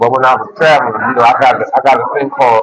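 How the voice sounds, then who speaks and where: The man talks very fast. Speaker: vlogger, content creator. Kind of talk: casual walking vlog. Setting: outdoors, walking. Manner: loud at times; repetitive, halting.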